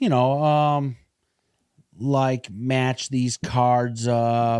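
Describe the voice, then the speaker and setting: At a very slow pace, a man speaks in a medium pitch with monotone, flat intonation. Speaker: podcast co-host. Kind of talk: casual chat. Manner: halting.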